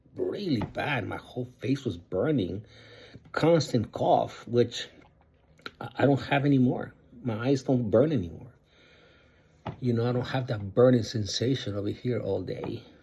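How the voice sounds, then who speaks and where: Somewhat breathy and dark, mellow in tone, a man at medium pitch talks with long, frequent pauses. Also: ordinary pitch variation, moderate pace. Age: 60s. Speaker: vlogger sharing surgery recovery. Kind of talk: casual video diary. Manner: halting, many fillers.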